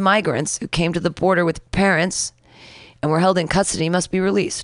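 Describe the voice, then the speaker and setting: This woman has a normal speaking voice, fairly low in pitch, with fairly even intonation. The sound is dry and close with no echo, over a quiet background. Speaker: radio host. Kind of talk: casual chat.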